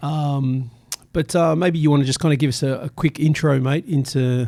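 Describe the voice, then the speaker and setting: Speaking with an Australian accent, a man with a fairly high pitch keeps his intonation fairly even at a moderate pace. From Sydney, Australia (western suburbs). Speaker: community radio host. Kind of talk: radio interview. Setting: radio studio.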